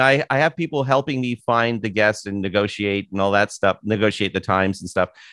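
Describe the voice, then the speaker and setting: A man with a Canadian accent and an unremarkable speaking voice, ordinary pitch variation, a fairly quick pace, and a dry, close sound with no echo over a quiet background. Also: hardly any pauses. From Canada, Toronto area. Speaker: author and podcast host. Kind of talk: casual interview chat. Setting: video call.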